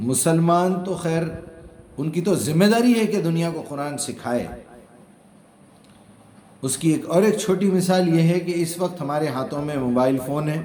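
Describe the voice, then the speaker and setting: A high-pitched male voice with ordinary pitch variation. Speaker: Quran translator and explainer. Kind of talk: religious lecture.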